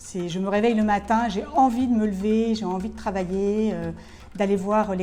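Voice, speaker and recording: The intonation is monotone and flat, with audible room echo. Music plays in the background. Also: woman. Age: 60s. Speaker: bar manager, former media planner. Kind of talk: interview testimony. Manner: hesitant, many fillers.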